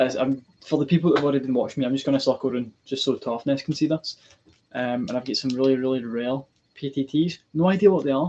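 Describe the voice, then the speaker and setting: A man talks at a very fast pace in a dark, mellow tone. There is light background noise. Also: fairly high pitch for a man, ordinary pitch variation. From Scotland. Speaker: military gear collector streamer. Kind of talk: live stream chat. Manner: hesitant, many ums. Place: home room. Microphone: webcam.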